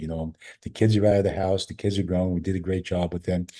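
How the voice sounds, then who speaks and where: Against a quiet background, a man with a very deep, low pitch and a dark, mellow tone talks at a fairly quick pace, sounding somewhat breathy. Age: 70s. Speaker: chiropractor and functional medicine doctor. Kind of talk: interview. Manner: conversational with frequent fillers and repetitions.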